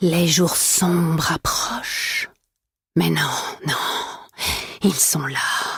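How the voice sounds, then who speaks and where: A woman's put-on character voice, raspy and menacing in tone, very slow, with long, frequent pauses. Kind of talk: video game villain monologue.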